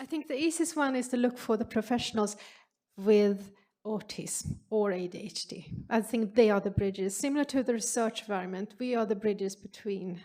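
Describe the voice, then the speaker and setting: A fairly quick pace with a Swedish accent. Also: woman, fairly high pitch for a woman, ordinary pitch variation. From Sweden. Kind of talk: Q&A answer at symposium.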